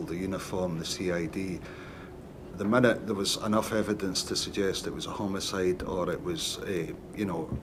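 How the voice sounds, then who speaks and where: A man speaks with a Scottish accent in a fairly low voice. Audible room echo surrounds him. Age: 60s. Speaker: retired police detective. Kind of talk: witness testimony. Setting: public inquiry hearing.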